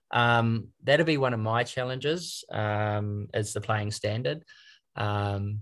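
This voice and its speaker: A man with a New Zealand accent talks at a very slow pace, his pitch fairly low with ordinary variation. The recording is very clean with a silent background. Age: 50s. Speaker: trainee golf professional. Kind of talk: interview.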